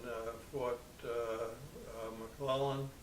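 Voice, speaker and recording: Spoken in an American accent with monotone, flat intonation, the clip carries audible room echo and noticeable background noise. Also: man. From New York City, Brooklyn. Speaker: war veteran. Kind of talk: interview testimony. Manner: halting.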